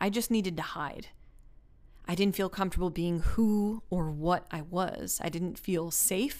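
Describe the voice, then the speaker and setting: Fairly slow and at medium pitch, a woman speaks in a plain, everyday voice. She has an American accent and ordinary pitch variation. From US. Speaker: podcast host. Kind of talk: personal monologue.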